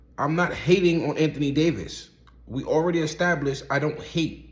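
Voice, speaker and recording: A man's fairly high voice with an American accent, animated and edged with vocal fry, in audible room echo. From Brooklyn, New York (Coney Island). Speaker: rapper and basketball commentator. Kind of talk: casual opinion monologue.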